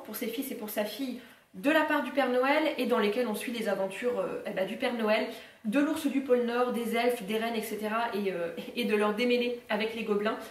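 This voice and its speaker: The speech moves at a fairly quick pace with fairly even intonation. Audible room echo can be heard. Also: woman, fairly high pitch for a woman. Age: 20s. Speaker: book YouTuber. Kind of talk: casual talk to camera, book haul. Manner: very relaxed, half-asleep. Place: home room. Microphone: camera far.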